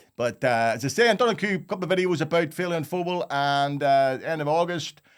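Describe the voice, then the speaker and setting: Over a silent background in a very clean recording, a man talks fairly quickly in a Belfast accent with lively intonation. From North Belfast, Northern Ireland. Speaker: comedian. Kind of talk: casual talk to camera.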